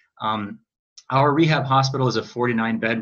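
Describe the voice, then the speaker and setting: This is a man with an Upper Midwest accent. His pitch sits in the medium range. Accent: Upper Midwest American. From Wisconsin, Eau Claire. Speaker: chief resident physician. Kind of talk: panel presentation.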